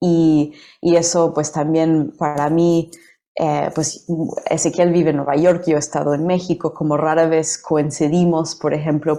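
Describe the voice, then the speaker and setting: At a fairly slow pace, a woman with a very deep, low pitch and a dark, mellow tone speaks in a monotone, flat intonation. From United States. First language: English (speaking Spanish). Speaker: poet and translator. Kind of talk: interview. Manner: halting, many fillers and repetitions.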